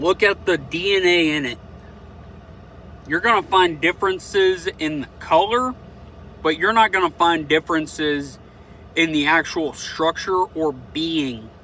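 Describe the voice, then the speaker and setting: A man with a Southern US accent speaks at a fairly slow pace in a high pitch, using ordinary pitch variation and long, frequent pauses. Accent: Southern American. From US South. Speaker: vlogger. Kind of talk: opinion monologue. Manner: casual, unscripted with hesitations.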